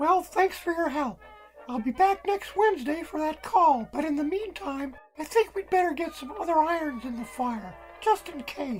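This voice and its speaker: A put-on character voice, high in pitch, at a moderate pace over clear background music. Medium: audio drama. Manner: casual, friendly.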